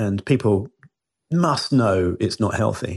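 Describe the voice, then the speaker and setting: Against a quiet background, a somewhat breathy man with a British accent speaks at a fairly slow pace with ordinary pitch variation. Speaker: biohacker and former marketing CEO. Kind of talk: radio interview.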